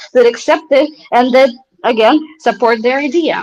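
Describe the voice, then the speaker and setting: This woman has a non-native accent and a high pitch. She talks at a moderate pace. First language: not English. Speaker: company CEO. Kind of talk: interview on livestream. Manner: halting, many fillers.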